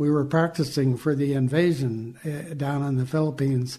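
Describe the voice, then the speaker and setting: Somewhat breathy and dark and mellow, a man's voice moves at a fairly slow pace with monotone, flat intonation. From Southern California. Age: 80s+. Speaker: Navy veteran. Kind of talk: interview. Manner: halting.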